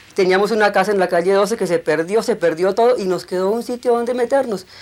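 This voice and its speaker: A woman's voice sits at a medium pitch. Noticeable noise fills the background. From Colombia, Bogotá and rural Cundinamarca. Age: 60s. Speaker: documentary filmmaker. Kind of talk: testimony.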